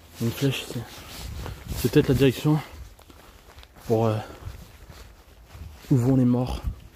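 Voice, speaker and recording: With long, frequent pauses, a man speaks at a moderate pace in a monotone, flat intonation. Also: medium pitch for a man. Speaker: geography streamer. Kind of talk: live stream hiking vlog. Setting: outdoors on a hiking trail. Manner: speaks softly.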